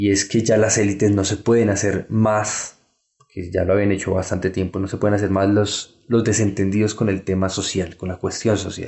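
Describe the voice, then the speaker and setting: A man speaks at a moderate pace and a fairly low pitch. His intonation is monotone and flat. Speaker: historian. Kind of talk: interview. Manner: halting.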